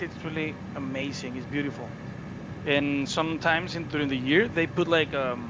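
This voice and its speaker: Noticeable background noise sits behind a man's fairly high voice. He talks at a fairly quick pace with fairly even intonation. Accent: Spanish. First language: Spanish. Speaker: flight sim group member. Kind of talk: casual chat. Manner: halting, many fillers.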